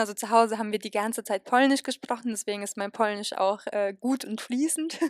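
Her pitch fairly high and her intonation fairly even, a woman with an unremarkable speaking voice speaks at a moderate pace. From western Germany, near Cologne/Aachen. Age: 20s. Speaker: university student. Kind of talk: interview.

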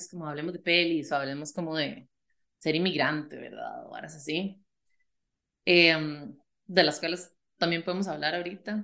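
A woman speaks at a moderate pace with a fairly low pitch and a bright, sharp tone. Her loudness swings widely. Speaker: podcast host. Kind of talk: casual chat. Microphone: new small microphone on a tripod.

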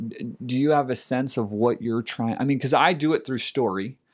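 In a very clean recording with a silent background, a man with an American accent speaks at a moderate pace and medium pitch in a plain, everyday voice. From US Northeast, Philadelphia suburbs. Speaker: podcast co-host, therapist. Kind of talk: casual chat.

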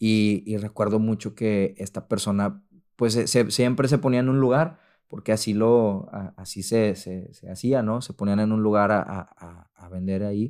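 A man's fairly low, dark and mellow voice at a fairly slow pace, with ordinary pitch variation and big swings in loudness, on a very clean recording with a silent background. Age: 30s. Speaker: translator. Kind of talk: testimony. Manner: halting, many repeated words.

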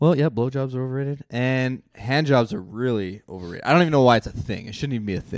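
With hardly any pauses, a man rushes along at a very fast pace, his medium pitch showing ordinary variation and his loudness swinging widely. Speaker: podcast guest. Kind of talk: casual chat.

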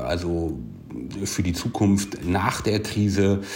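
A man speaks at a very slow pace with fairly low pitch and ordinary pitch variation. Audible room echo and noticeable background noise fill the recording. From Hanover, Germany. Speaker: parkour gym operator. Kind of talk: voice message monologue. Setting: WhatsApp voice message.

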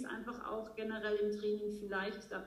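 Over noticeable background noise, a woman talks with audible room echo. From Austria. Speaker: horse trainer. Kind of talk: interview. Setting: remote recording.

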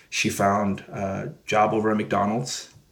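Against noticeable background noise, a man speaks with a fairly low pitch. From San Jose, California (east side). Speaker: entrepreneur. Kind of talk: casual interview. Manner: relaxed, frequent fillers.

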